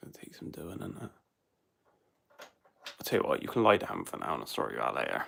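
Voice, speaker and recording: A man with a Bristol accent, relaxed in tone, at a fairly quick pace, with big swings in loudness and long, frequent pauses. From England, Bristol. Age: 30s. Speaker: drain cleaning YouTuber. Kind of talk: casual livestream chat. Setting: live stream at home. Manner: relaxed, rambling.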